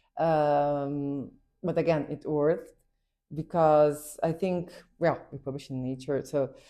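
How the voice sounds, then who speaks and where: Against a quiet background, a woman with a Portuguese accent speaks at a fairly slow pace in a very deep, low voice with a dark, mellow tone. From Brazil. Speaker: pediatric neurosurgeon and PhD student. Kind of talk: interview. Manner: halting, with repetitions.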